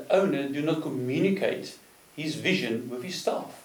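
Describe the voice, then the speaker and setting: Noticeable background noise and audible room echo around a man speaking at a fairly high pitch. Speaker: business consultant. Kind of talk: interview. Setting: studio.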